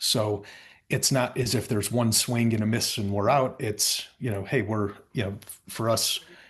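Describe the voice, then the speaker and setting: Against a quiet background, a somewhat breathy man at a medium pitch talks at a moderate pace with fairly even intonation. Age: 40s. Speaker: company founder and CEO. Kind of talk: interview. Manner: halting.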